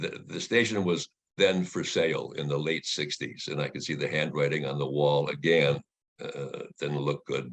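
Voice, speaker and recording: Ordinary pitch variation at a moderate pace. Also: man, very deep, low pitch for a man. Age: 90s. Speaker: retired radio broadcaster and voice actor. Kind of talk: interview. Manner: halting, repeats words.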